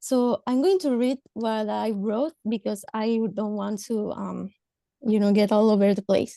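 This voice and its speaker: In a Spanish accent, a woman speaks with a fairly high, dark and mellow voice and fairly even intonation, the sound dry and close with no echo. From Mexico. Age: 30s. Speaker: government social worker. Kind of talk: panel discussion. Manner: halting.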